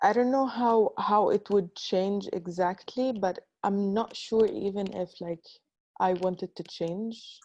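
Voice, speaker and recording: A woman with a North African accent speaks at a fairly slow pace, with a medium pitch and fairly even intonation. Her tone is dark and mellow, and the sound is dry and close with no echo. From Libya. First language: Tamazight. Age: 20s. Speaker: artist. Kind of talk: panel discussion. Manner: halting.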